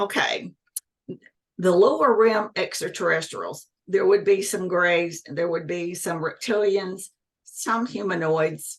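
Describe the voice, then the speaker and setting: Very slowly, a woman speaks with an ordinary amount of pitch variation. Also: medium pitch for a woman. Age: 60s. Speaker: UFO contactee, former government employee. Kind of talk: interview testimony.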